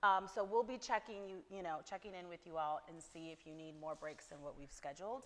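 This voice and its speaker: With an unremarkable speaking voice, a woman talks at a fairly quick pace with hardly any pauses, fairly low pitch, ordinary pitch variation and big swings in loudness. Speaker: therapist leading a women's workshop. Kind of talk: workshop talk to attendees. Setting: venue with live audience. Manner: casual, filler-heavy.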